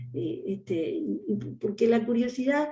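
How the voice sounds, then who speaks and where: A woman's somewhat breathy voice, dark and mellow in tone, moves at a fairly slow pace. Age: 60s. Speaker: historian and education official. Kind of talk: interview.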